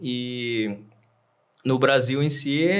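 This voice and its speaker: This man's voice sits at a medium pitch. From Brazil, Amazonas. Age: 30s. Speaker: tailor. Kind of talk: casual chat.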